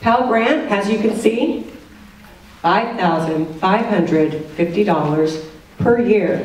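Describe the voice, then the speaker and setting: With noticeable background noise and audible room echo, a woman speaks at a fairly slow pace with lively intonation. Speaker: financial aid presenter. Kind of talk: informational presentation. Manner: loud.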